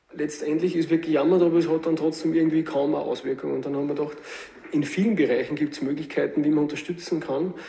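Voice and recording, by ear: A man talks at a fast pace with few pauses, his dark, mellow tone carrying vocal fry over fairly even intonation. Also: fairly high pitch for a man.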